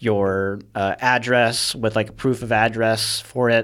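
This is a man's voice. His pitch sits in the medium range. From Southern California, San Bernardino County. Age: 20s. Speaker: gun content creator. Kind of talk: casual interview.

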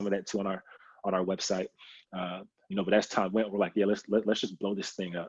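A man with an American accent speaks at a very fast pace with a fairly low pitch and monotone, flat intonation, broken by long, frequent pauses. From Kansas City, Missouri. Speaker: pastor, former basketball player. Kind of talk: interview. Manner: casual, frequent laughter.

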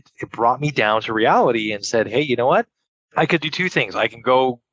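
Bright, sharp tone with a Montreal accent, in a dry, close sound with no echo. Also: man, quiet background. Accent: Canadian English (Montreal). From Montreal, Quebec, Canada. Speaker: entrepreneur. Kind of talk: casual interview.

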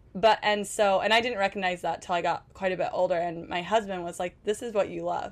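With hardly any pauses, a woman talks at a fairly quick pace in an ordinary speaking voice, keeping a medium pitch and fairly even intonation. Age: 30s. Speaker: mom influencer. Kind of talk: casual chat. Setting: on a cruise ship.

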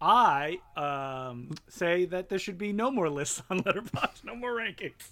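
This man's voice is raised and projected, high in pitch and bright and sharp in tone, with hardly any pauses. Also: lively intonation, fairly slow pace. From Ontario, Canada (Franco-Ontarian). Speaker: filmmaker and film critic. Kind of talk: casual chat.

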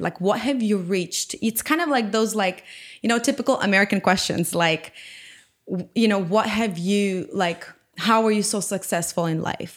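In a Ukrainian accent, a woman speaks at a moderate pace. Her medium pitch shows ordinary pitch variation. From Ukraine. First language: Ukrainian or Russian. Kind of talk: testimony and casual interview chat.

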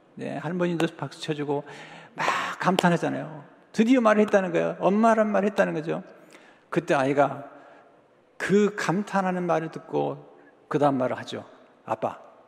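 With noticeable background noise, a man with a fairly high pitch and ordinary pitch variation speaks at a moderate pace, leaving long, frequent pauses. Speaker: pastor. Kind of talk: sermon. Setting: church. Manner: imprecise pronunciation of some sounds.

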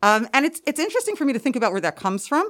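Very clean recording with a silent background, featuring a woman in an American accent. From Brooklyn, New York. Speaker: school administrator and historian. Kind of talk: podcast interview. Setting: recording through masks.

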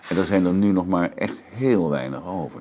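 This man's voice has a very deep, low pitch. He talks at a moderate pace. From Netherlands, Maastricht (Limburg). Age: 70s. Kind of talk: interview.

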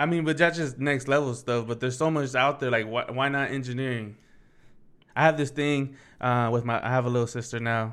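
Using a normal speaking voice, a man talks at a medium pitch and a fairly quick pace with fairly even intonation. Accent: American. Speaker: podcaster. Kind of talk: casual chat.

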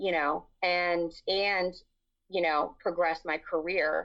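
Fairly low in pitch, a woman's voice moves at a fairly slow pace. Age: 40s. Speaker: interview guest sharing personal story. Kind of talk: casual interview conversation. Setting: video call.

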